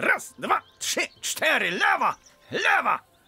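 Speaking at a very slow pace, a man uses an extremely high pitch. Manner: authoritative, calming, drill-commander.

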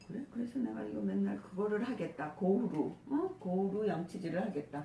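Very wide pitch swings in a woman's speech, with noticeable background noise underneath. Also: medium pitch for a woman, moderate pace. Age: old. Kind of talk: casual chat between friends.

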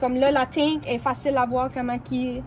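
A woman with an Acadian accent speaks at a fairly slow pace against noticeable background noise. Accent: Acadian French with English code-switching. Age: 20s. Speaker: car maintenance tips presenter. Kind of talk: casual how-to talk to camera. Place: street. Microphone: phone near.

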